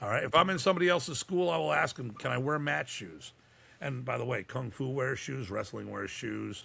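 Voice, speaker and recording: An animated man with a medium-pitched, bright, sharp voice and vocal fry speaks at a fairly quick pace, his pitch swinging very widely. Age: 60s. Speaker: martial arts instructor. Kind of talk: podcast interview.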